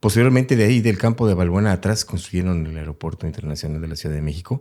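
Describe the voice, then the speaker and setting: A man speaks at a very fast pace in a very deep, low voice with a dark, mellow tone and ordinary pitch variation, on a very clean recording with a silent background. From Mexico City (Aragón). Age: 60s. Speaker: retired military helicopter pilot. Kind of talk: interview.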